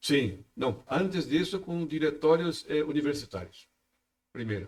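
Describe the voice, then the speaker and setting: Speaking at a fairly slow pace with a Brazilian accent, a man uses a fairly high pitch, lively intonation and vocal fry. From southern Brazil, Santa Catarina. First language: Portuguese (speaking Spanish). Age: 60s. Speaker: freemasonry official. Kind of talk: podcast interview. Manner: halting, with repetitions.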